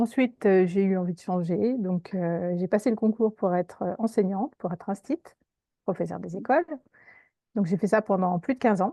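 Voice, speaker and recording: Against a quiet background comes a voice with a dark, mellow tone. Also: woman, medium pitch for a woman, ordinary pitch variation, moderate pace, dry, close sound with no echo. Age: 50s. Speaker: career coach, former teacher. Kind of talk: interview. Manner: hesitant, many fillers.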